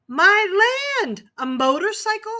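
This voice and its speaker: A woman puts on a squeaky character voice, raised and projected, at an extremely high pitch with very wide pitch swings. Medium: read story. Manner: fussy, disapproving.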